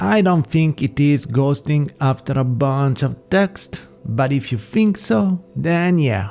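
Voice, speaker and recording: A man with an Italian accent speaks very slowly with lively intonation at a medium pitch. Music plays in the background. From Italy. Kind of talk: casual talk to camera.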